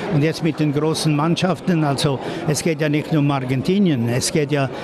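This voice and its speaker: Amid noticeable background noise, a man speaks at a moderate pace in a dry sound with no echo. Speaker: football association president. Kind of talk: interview answer. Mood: relaxed, confident. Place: hall.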